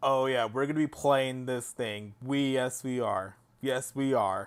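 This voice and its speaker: This man's intonation is fairly even. He talks at a fairly slow pace. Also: medium pitch for a man, very clean recording, silent background. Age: 20s. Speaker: mobile game streamer. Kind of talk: casual live stream chat. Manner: halting, repetitive.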